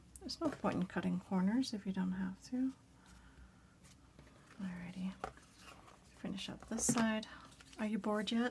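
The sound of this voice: Raspy and with ordinary pitch variation, a woman speaks with long, frequent pauses. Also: medium pitch for a woman, fairly slow pace, slightly mellow tone.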